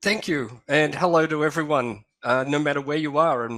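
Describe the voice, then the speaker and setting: Speaking with an Australian accent, a man uses a fairly high pitch, ordinary pitch variation and a moderate pace. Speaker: historian and astronomy lecturer. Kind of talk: lecture. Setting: online video presentation.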